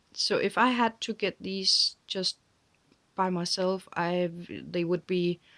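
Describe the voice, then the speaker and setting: A woman with a fairly low pitch at a very slow pace, on a very clean recording with a silent background. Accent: Danish. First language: Danish. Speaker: crafting vlogger. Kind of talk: casual chat. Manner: halting.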